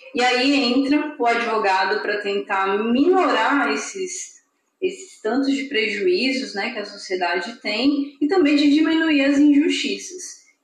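A woman's high voice at a fairly slow pace, with very wide pitch swings and audible room echo. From Brasília, Brazil. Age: 30s. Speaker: lawyer and writer. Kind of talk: interview.

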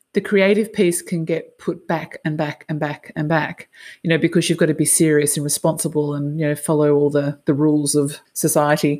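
With an Australian accent, a woman speaks at a moderate pace with hardly any pauses, using a very deep, low pitch and a dark, mellow tone. Her intonation is fairly even, and the recording is very clean with a silent background. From Australia, Sydney. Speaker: podcast host, life and business coach. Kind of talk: casual interview chat.

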